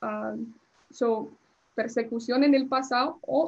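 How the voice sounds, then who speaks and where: A woman's voice, high in pitch. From US Northeast (New Jersey), born in Colombia. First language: English (speaking Spanish). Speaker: immigration lawyer. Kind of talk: lecture. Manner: halting, many fillers.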